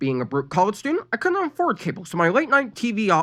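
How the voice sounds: This is a natural reading voice. It carries the text along.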